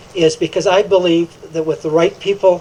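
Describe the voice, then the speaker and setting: High-pitched male voice, monotone and flat, over noticeable background noise. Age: 60s. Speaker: political candidate. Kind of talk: candidate forum speech. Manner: halting, many fillers.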